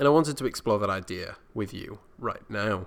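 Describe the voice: A man with a fairly low pitch and vocal fry speaks at a moderate pace, his intonation lively. The recording is very clean, with a silent background.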